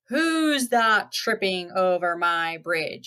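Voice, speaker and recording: Bellowing in a put-on character voice at medium pitch, a woman speaks at a very slow pace. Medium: read story. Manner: roaring.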